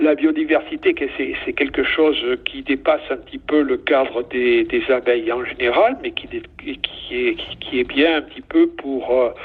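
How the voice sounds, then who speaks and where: A man talks at a fairly slow pace, his loudness swinging widely. Noticeable background noise sits under his voice. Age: 70s. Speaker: beekeeping association section president. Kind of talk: interview. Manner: halting, many fillers.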